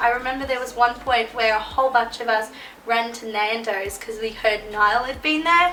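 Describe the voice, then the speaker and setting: With an Australian accent, a woman speaks at a high pitch with ordinary pitch variation, with audible room echo and noticeable background noise. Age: 20s. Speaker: YouTuber. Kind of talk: storytime vlog. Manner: animated.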